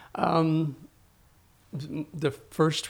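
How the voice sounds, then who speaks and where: On a very clean recording with a silent background, a man speaks. His voice has vocal fry. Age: 70s. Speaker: theatre professor and historical reenactor. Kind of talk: interview. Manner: halting.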